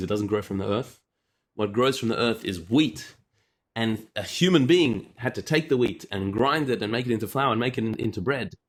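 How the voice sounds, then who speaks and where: A man's medium-pitched voice with ordinary pitch variation on a very clean recording with a silent background. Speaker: rabbi teaching a class. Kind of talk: lecture. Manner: fast.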